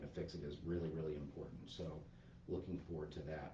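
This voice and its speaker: Soft-spoken and somewhat breathy, a man talks at a fairly quick pace with fairly even intonation and a dark, mellow tone, with audible room echo. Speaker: park manager. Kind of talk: livestreamed staff update. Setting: livestream. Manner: hesitant, many fillers.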